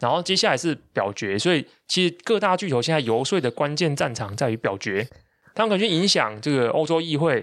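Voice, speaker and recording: A man's fairly high voice swings very widely in pitch as he talks at a fairly quick pace. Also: very even loudness, very clean recording, silent background. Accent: Taiwanese. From Taiwan, Taichung. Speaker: tech and business newsletter writer, podcast host. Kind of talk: casual conversational explainer of tech news.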